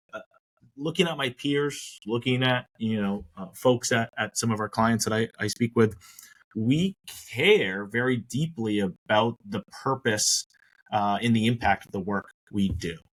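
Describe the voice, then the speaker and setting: A man's plain, everyday voice at a fairly slow pace, with big swings in loudness and ordinary pitch variation. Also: medium pitch for a man. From Maine, US. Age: 30s. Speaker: retirement plan advisor. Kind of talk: podcast interview.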